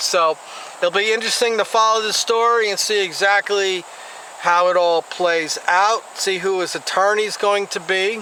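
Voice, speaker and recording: The speaker is a man with an American accent. Noticeable background noise can be heard. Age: 60s. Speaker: YouTube commentator. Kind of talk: vlog commentary. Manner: casual, halting with fillers.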